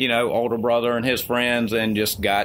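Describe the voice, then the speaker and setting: A man speaks in an Alabama accent at a moderate pace. Background noise is noticeable. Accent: Southern US (Alabama). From US South (Mobile, Alabama). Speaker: e-liquid company co-founder. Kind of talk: interview.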